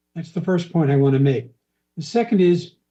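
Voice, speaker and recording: In a high pitch with a dark, mellow tone, a man speaks with ordinary pitch variation. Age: 70s. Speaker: member of the public. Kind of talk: public hearing testimony. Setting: public hearing.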